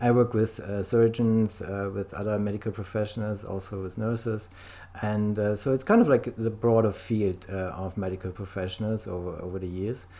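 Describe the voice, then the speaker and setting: A man with a German accent talks at a moderate pace. His tone is dark and mellow, and his intonation fairly even. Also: fairly low pitch for a man. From Germany. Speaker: life coach. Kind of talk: interview. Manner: halting.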